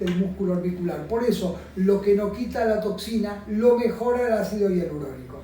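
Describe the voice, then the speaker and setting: A man with a Rioplatense accent, high in pitch with ordinary pitch variation, at a moderate pace, amid noticeable background noise and audible room echo. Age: 60s. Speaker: aesthetic doctor. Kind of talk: explaining a treatment to a patient on camera.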